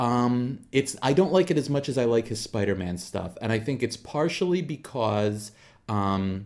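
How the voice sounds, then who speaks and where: Using a normal speaking voice, a man talks in a medium pitch. His pace is fairly slow and his intonation lively. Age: 40s. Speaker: comics podcast co-host. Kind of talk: casual chat.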